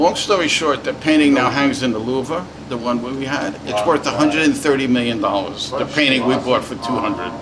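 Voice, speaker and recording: Over noticeable background noise and audible room echo, a man with an American accent talks at a medium pitch and fairly quick pace, with ordinary pitch variation and hardly any pauses. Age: 70s. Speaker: storyteller of the 70s art scene. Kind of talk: anecdote telling.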